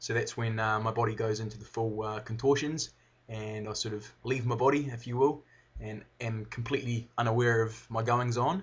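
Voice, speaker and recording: A man in a New Zealand accent, medium-pitched and somewhat breathy, at a moderate pace with fairly even intonation. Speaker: video blogger, brain surgery patient. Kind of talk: personal video update. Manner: slurred at times; halting, pausing.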